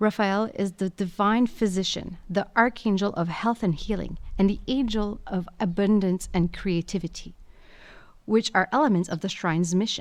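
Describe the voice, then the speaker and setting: A woman speaks at a medium pitch and moderate pace, with ordinary pitch variation, in a normal speaking voice. The recording is very clean, with a silent background. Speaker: audio guide narrator. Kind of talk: scripted narration. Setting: inside a basilica.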